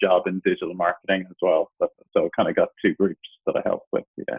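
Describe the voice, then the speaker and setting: A man talks at a fairly quick pace. He has an Irish accent. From Ireland. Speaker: digital marketing entrepreneur. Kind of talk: interview. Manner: casual.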